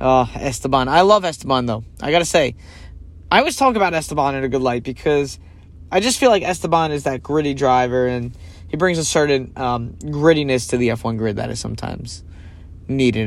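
At a fairly quick pace, a man uses a normal speaking voice of medium pitch with lively intonation. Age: 30s. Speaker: podcast host. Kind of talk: solo podcast commentary. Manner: casual, conversational.

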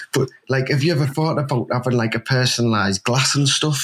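Talking very fast, a man with a Teesside accent keeps a medium pitch. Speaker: football fan, host's brother-in-law. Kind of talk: casual chat. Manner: animated.

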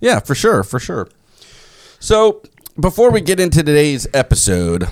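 The man's tone is animated, and he talks at a fairly quick pace. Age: 40s. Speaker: preparedness podcast host. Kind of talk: casual chat. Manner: animated, laughing often.

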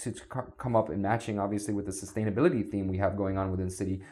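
A man with an American accent speaks at a fairly low pitch, somewhat breathy, in a dark, mellow tone. The background is quiet. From US, South Florida. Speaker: city sustainability official. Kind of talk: podcast interview.

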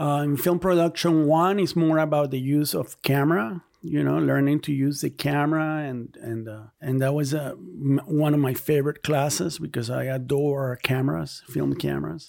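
A man's fairly high, normal speaking voice, with hardly any pauses. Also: ordinary pitch variation, moderate pace. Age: 40s. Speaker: artist, filmmaker and professor. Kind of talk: casual interview.

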